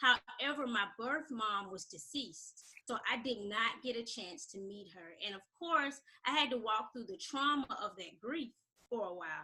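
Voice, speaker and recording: An unremarkable speaking voice with an American accent moves at a moderate pace. The intonation is lively, and the loudness swings widely. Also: woman, fairly high pitch for a woman. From Alabama, US South. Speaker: self-confidence coach. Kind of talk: interview. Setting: radio show.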